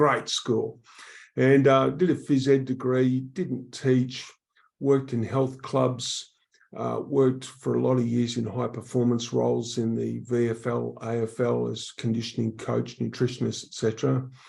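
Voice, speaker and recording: Speaking at a fairly slow pace, a man has an Australian accent. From Australia, Queensland then Melbourne. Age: 60s. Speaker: public speaker on workplace wellbeing. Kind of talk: podcast interview.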